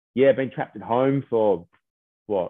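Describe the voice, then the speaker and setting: Here a man talks with an Australian accent. His pitch varies in an ordinary way. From Australia, Sydney. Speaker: DJ. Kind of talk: casual chat.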